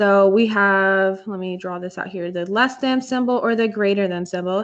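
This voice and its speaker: A plain, everyday voice speaks at a fairly slow pace with fairly even intonation. The background is quiet. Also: woman. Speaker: math teacher. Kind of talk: online class tutorial. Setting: video call.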